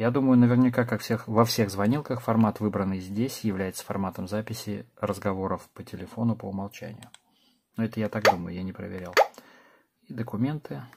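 A man in a normal speaking voice, fairly low in pitch and fairly quick, with ordinary pitch variation and big swings in loudness. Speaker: tech reviewer. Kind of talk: product review. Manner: casual.

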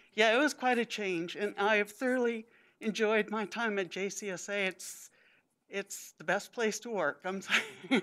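A woman has a plain, everyday voice at medium pitch with ordinary pitch variation. She talks at a moderate pace against a quiet background. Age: 60s. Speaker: retiring GIS employee. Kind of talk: speech. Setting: public meeting. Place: hall. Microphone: podium.

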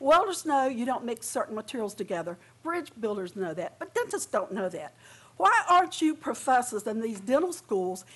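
A woman speaks at a moderate pace. Her pitch is high. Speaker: public commenter at hearing. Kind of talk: prepared public testimony. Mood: earnest, indignant. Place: hall. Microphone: podium.

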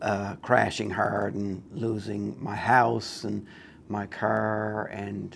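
Light background noise runs under this man's speech. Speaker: guest. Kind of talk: interview answer. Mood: candid, reflective. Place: studio. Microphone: lapel.

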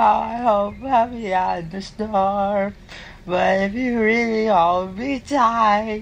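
Fairly high in pitch, the female-sounding voice keeps a fairly even intonation. The pace is very slow. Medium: machinima. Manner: gloomy, then gushing with excitement.

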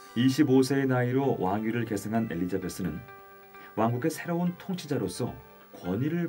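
Faint music plays in the background as a man speaks. His pace is fairly quick, and his pitch swings very widely. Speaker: voice actor. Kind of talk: museum audio guide narration. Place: booth. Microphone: studio mic.

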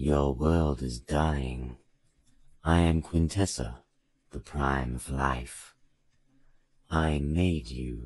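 In a put-on, robotic character voice, a man speaks with a very deep, low pitch. His pace is very slow, broken by long, frequent pauses.

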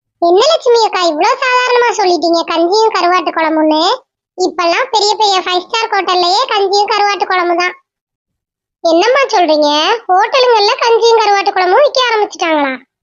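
In a cartoonish character voice, a woman squeaks at an extremely high pitch with lively intonation. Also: moderate pace. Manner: chatty, curious.

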